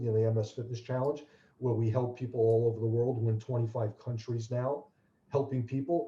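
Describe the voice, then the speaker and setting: This somewhat breathy voice carries a dark, mellow tone. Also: man. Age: 60s. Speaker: fitness trainer and charity founder with multiple sclerosis. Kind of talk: interview.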